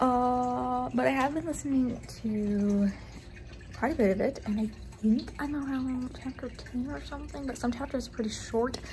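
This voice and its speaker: At a moderate pace, a woman speaks in a room with audible echo. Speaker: book youtuber. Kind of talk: casual vlog.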